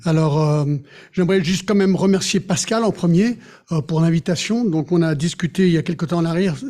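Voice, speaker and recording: With a high pitch and a dark, mellow tone, a man talks at a fairly quick pace, keeping very even loudness and ordinary pitch variation. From Geneva, Switzerland. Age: 60s. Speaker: pastor. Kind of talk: sermon.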